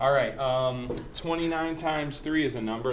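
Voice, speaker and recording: A man is speaking amid noticeable background noise. Audible room echo surrounds his voice. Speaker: math teacher. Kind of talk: tutorial. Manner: fast; casual.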